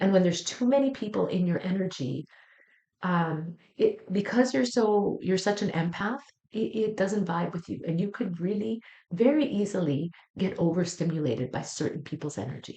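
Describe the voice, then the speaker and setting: A woman speaks at a moderate pace in a medium pitch, somewhat breathy. Her tone is dark and mellow, with lively intonation. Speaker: psychic tarot reader. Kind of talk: weekly astrology tarot reading. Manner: warm, soothing.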